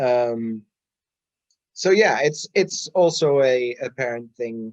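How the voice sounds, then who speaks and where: Speaking at a very slow pace, a man with a medium-pitched voice uses lively intonation. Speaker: podcast co-host. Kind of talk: casual chat. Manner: halting, many fillers and repeats.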